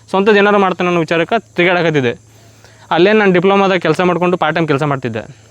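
Noticeable background noise runs under this clip. A man speaks with ordinary pitch variation. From Mudhol, Bagalkot district, north Karnataka. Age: 20s. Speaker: mushroom farmer and entrepreneur. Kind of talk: interview.

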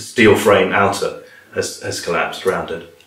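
A man with a British accent. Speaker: TV documentary interviewer. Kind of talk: interview. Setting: filmed interview.

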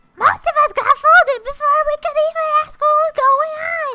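A put-on character voice pitched extremely high. It moves at a moderate pace. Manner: strained, croaky.

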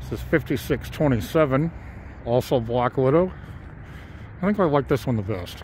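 At a moderate pace, a somewhat breathy man speaks with lively intonation and long, frequent pauses, in a dry sound with no echo over light background noise. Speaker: pigeon fancier. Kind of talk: casual talk to camera. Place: open country. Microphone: phone near.

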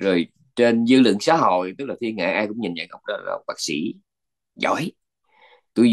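With lively intonation, a man talks fairly quickly over a quiet background. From Vietnam. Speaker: Buddhist monk teacher. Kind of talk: dharma talk lecture. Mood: calm, reflective teaching. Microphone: video call.

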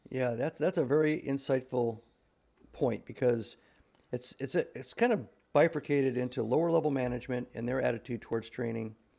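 At a fairly quick pace, a voice with a dark, mellow tone and ordinary pitch variation comes through over a quiet background. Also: man. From US Midwest, Nebraska. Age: 60s. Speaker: retired navy officer and author. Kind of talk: interview conversation. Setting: remote call. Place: home room. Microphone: video call.

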